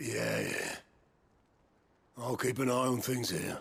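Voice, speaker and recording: In a raspy, put-on character voice, the speaker moves at a fairly slow pace with fairly even intonation. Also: man, medium pitch for a man. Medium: video game. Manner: blunt, colloquial.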